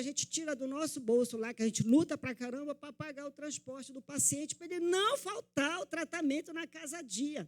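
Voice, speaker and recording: The speech comes at a fairly quick pace with big swings in loudness, in a dry, close sound with no echo. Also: woman, hardly any pauses. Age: 60s. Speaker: NGO activist. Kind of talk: public speech at legislative session. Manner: impassioned.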